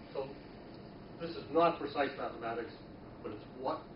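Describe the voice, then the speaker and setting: A man talks at a fairly quick pace with ordinary pitch variation. There is audible room echo and noticeable background noise. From US, Boston. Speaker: university professor. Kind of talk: lecture. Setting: classroom. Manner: fast; halting, repeats words.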